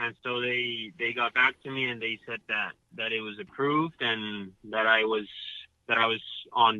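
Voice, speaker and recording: Fairly even intonation carries a man's medium-pitched voice. He keeps a moderate pace. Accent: Spanish. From Mexico City. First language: Spanish. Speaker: professional golfer. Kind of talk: interview. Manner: halting, repetitive.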